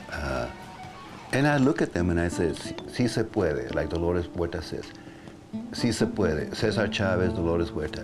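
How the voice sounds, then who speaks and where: Music plays in the background as a man speaks at a moderate pace with long, frequent pauses. His voice is very deep and low, with lively intonation. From Mexico. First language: Spanish. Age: 60s. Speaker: guitarist. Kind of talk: interview answer.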